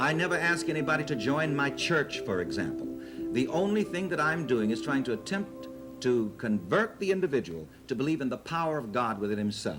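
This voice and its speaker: Music plays behind a man at a medium pitch who talks fairly quickly in a confident tone. His pitch swings very widely. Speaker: preacher. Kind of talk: television interview answer. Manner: confident, conversational.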